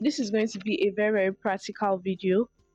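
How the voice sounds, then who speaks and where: The sound is dry and close, with no echo. Intonation stays fairly even throughout. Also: woman. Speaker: lifestyle YouTuber. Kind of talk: tutorial. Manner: fast.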